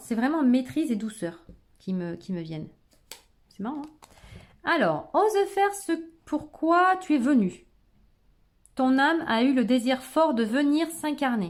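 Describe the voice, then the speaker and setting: Her pitch is high for a woman and swings very widely. The woman leaves long, frequent pauses. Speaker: tarot card reader. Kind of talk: tarot reading video. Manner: fast; halting.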